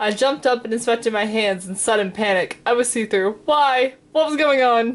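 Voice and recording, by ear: Reading aloud in a natural voice. The pitch varies in an ordinary way.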